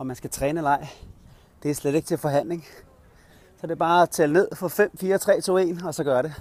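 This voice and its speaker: The speaker moves at a fairly quick pace with fairly even intonation, yet leaves long, frequent pauses. The sound is dry with no echo. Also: man, high pitch for a man. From Denmark, Kirke Værløse (north Zealand); Denmark. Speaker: coach and vlogger; coach, vlogger. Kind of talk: casual vlog monologue. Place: street. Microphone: earbuds.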